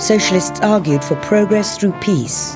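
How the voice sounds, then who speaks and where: While music sounds in the background, a woman talks at a moderate pace. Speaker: actress. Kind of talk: documentary narration.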